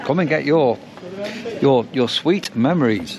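A man speaks at a fairly high pitch and a moderate pace, with ordinary pitch variation. Faint background noise sits underneath.

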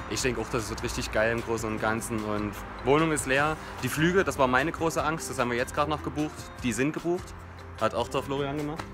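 Clear music plays in the background as a man talks at a very fast pace with ordinary pitch variation. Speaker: student vlogger. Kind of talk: casual vlog chat. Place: garden. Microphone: phone near.

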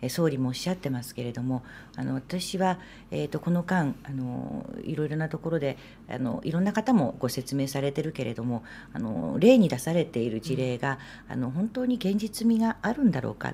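A woman's very deep, low voice with a dark, mellow tone, vocal fry, very wide pitch swings and a fairly quick pace, over light background noise. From Japan, Sendai (Miyagi); Miyagi, Japan. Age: 50s. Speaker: politician, former TV announcer. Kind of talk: interview conversation. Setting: studio, live stream. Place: studio. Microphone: studio mic.

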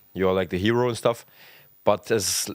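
Speaking in a German accent, a man uses a fairly low pitch. The sound is dry with no echo, against a quiet background. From Germany, Potsdam; Germany. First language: German (speaking Dutch). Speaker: professional footballer; guest. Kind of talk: casual chat. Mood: relaxed storytelling. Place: studio. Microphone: studio mic.

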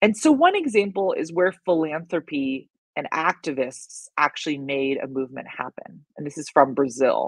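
A woman with an American accent at a very deep, low pitch, moderate pace and hardly any pauses, with big swings in loudness and ordinary pitch variation, dry with no echo over a quiet background. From United States. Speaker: writer and education researcher; presenter. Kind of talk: presentation. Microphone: webcam.

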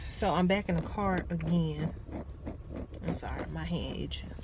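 A woman talks at a moderate pace, with noticeable background noise. The sound is dry, with no echo. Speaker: vlogger. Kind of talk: casual vlog chat. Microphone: phone near.

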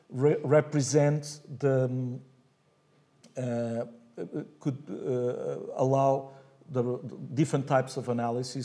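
A man at medium pitch, fairly slow, with fairly even intonation. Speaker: architecture professor giving keynote. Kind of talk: academic keynote lecture. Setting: conference stage. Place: hall. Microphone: podium.

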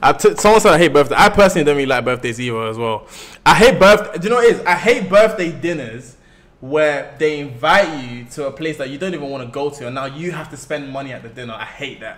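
A very fast, animated man with a strong London accent, lively intonation and big swings in loudness. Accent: thick London. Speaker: live streamer. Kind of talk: casual chat. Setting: livestream.

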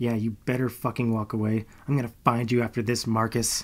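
A man puts on a hissing character voice at a medium pitch. He keeps a monotone, flat intonation at a fairly quick pace. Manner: hissing angrily.

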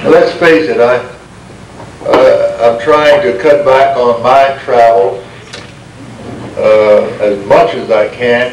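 With an American accent, a man talks at a very slow pace with long, frequent pauses, amid audible room echo and light background noise. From United States. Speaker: Baptist minister. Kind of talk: speech to an audience. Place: hall. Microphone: podium.

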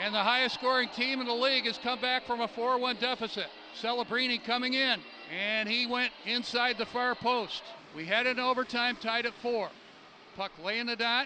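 A man talks in a monotone, flat delivery at an extremely high pitch. Noticeable background noise is present, and the sound is dry with no echo. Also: moderate pace. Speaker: hockey play-by-play announcer. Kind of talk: live sports commentary, play-by-play of a hockey game. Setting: arena press box, live game. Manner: fluent, clipped play-by-play with calm filler between goals. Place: stadium. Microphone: headset.

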